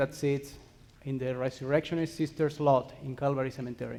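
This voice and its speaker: A man's fairly quick delivery in a monotone, flat intonation. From Spain. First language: Spanish. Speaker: cemetery ministry worker. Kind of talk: conference presentation. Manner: fast.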